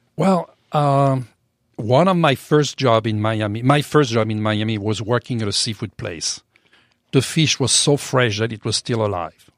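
This man has a French accent and a medium pitch. He speaks at a moderate pace with lively intonation. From France. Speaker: chef and restaurant owner. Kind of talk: interview. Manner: hesitant, many fillers.

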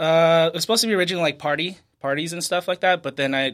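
Moving at a very fast pace, a man talks with an American accent and ordinary pitch variation. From California (Fresno, San Diego). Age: 30s. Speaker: chef. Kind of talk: casual chat.

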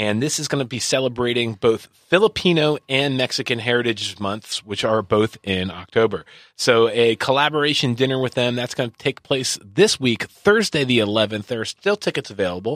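Very clean and silent in the background, this recording has a dry, close sound with no echo. A man with a plain, everyday voice at medium pitch talks fairly quickly with ordinary pitch variation and hardly any pauses. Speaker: podcast host. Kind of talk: casual interview chat. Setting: studio.

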